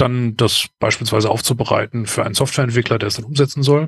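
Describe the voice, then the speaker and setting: A man talks at a medium pitch with ordinary pitch variation. His voice is somewhat breathy, and the sound is dry and close with no echo. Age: 40s. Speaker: process management consultant. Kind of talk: interview. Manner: hesitant, many filler sounds.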